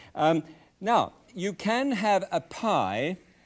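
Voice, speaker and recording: A man with a British accent and lively intonation, on a very clean recording with a silent background. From Scotland. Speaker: TV cooking show host. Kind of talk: cooking demonstration. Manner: halting, with many fillers.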